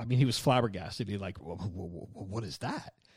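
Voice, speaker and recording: Somewhat breathy, a man talks in a medium pitch. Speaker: podcast host. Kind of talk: casual interview.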